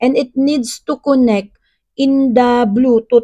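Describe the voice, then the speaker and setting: A woman speaks in a fairly high voice with a dark, mellow tone. The sound is dry and close, without echo. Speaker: vlogger. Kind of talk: product unboxing vlog. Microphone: wireless lavalier mic being tested, slightly distorted.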